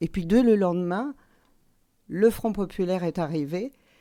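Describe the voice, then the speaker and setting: On a very clean recording with a silent background, a woman speaks in a dark, mellow tone with lively intonation. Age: 60s. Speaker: parliamentary candidate, retired teacher. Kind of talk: radio interview. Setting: radio studio. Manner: hesitant, many fillers and repetitions.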